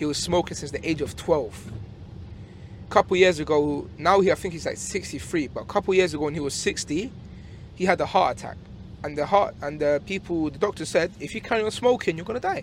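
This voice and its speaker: A man with a London accent talks at a fairly quick pace and high pitch with ordinary pitch variation. His loudness swings a lot. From England. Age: 20s. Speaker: taxi passenger. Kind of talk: casual chat. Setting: in a car.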